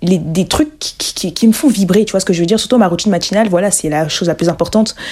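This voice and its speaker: Very fast, lively speech from a woman at a medium pitch, with noticeable background noise. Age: 20s. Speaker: podcast host and entrepreneur. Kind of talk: solo podcast monologue. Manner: hesitant, many fillers.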